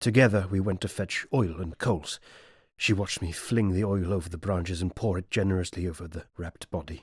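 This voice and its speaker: With a British RP accent, a man speaks at a very deep, low pitch in a somewhat breathy voice with fairly even intonation. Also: very clean recording, silent background. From England. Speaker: voice actor. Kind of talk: audiobook narration.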